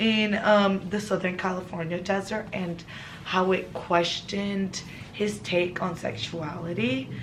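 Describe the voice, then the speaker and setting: With a non-native accent, a woman at medium pitch speaks at a fairly slow pace and fairly even intonation, amid audible room echo and noticeable background noise. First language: not English. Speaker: friend of the vlogger. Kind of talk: casual chat. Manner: halting.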